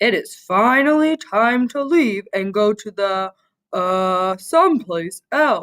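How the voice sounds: A woman does a put-on character voice, fairly high in pitch and at a fairly slow pace.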